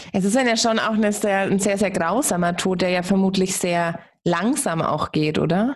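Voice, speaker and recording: A normal speaking voice at a fairly slow pace, with ordinary pitch variation and very even loudness. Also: woman, medium pitch for a woman. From Germany. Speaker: podcast host. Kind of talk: interview.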